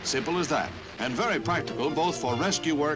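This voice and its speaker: Background music plays. A man speaks at a medium pitch. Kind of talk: newsreel narration.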